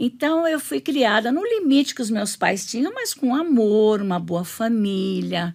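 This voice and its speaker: A woman's fairly high voice with very wide pitch swings, at a fairly slow pace with hardly any pauses. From Brazil, São Paulo. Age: 70s. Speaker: pastor's wife, women's ministry leader. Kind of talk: testimony.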